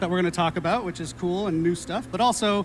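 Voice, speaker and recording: Loud and high-pitched, a man speaks against noticeable background noise. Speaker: community manager and panel host. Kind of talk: live stream panel presentation. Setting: stage with audience.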